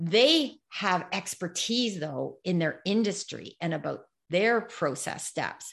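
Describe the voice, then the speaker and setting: Vocal fry runs through this woman's speech. She talks at a very slow pace. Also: medium pitch for a woman, lively intonation. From Canada. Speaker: social media strategist and keynote speaker. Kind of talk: interview. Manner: animated.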